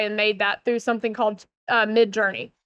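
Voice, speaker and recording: In a Southern US accent, a woman speaks. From US South, Northeast Georgia. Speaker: keynote speaker, building industry consultant. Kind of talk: conference keynote.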